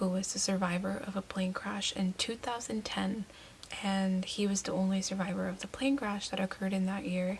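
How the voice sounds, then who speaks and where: Over noticeable background noise, a woman talks at a medium pitch and moderate pace with fairly even intonation. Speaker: book vlogger. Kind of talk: casual vlog book review.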